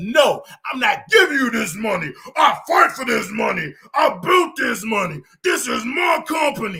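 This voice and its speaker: A man performs a put-on character voice at an extremely high pitch, raised and projected. His pitch swings very widely at a moderate pace. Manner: firm, refusing, confrontational.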